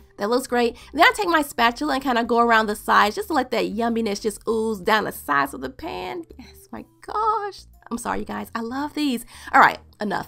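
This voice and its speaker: An animated woman at a fairly quick pace, with music in the background. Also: big swings in loudness. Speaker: cooking channel host. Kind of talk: cooking tutorial.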